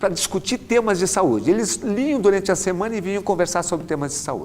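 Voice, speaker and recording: This is a man speaking. His intonation is lively. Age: 60s. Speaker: orthopedic doctor. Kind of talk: lecture.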